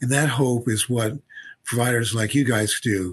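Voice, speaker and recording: A man's voice, somewhat breathy, moves at a moderate pace. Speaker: physician and researcher. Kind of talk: interview conversation. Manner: halting, repetitive.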